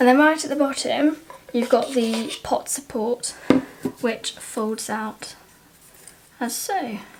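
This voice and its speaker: A woman's high-pitched voice at a very slow pace, with long, frequent pauses, ordinary pitch variation and noticeable background noise. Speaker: outdoor gear reviewer. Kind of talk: casual talk to camera. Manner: quiet, slow.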